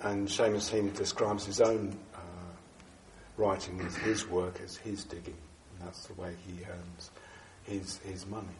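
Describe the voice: A man speaks at a fairly slow pace in a low voice with little pitch movement, and audible room echo surrounds him.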